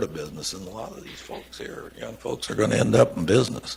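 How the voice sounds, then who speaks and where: A man's voice over noticeable background noise. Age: 80s+. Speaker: trucking company founder. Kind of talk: onstage interview. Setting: auditorium with audience. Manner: casual.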